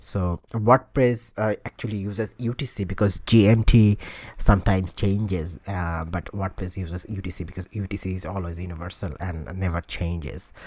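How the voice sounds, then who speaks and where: With a Bengali accent, a man talks in a very deep, low pitch with ordinary pitch variation. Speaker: tutorial instructor. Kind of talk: tutorial. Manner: hesitant, many filler sounds.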